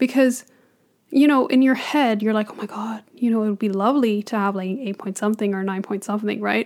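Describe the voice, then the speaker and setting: A woman speaks in a normal speaking voice at a fairly high pitch with ordinary pitch variation. The recording is very clean, with a silent background. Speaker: podcast co-host, international student. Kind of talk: casual chat.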